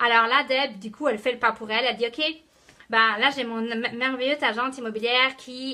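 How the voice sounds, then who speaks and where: With a Quebec accent, a woman speaks at a high pitch in a bright, sharp tone. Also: fairly quick pace. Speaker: network marketing team leader. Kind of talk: live motivational talk. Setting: live video stream. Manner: animated.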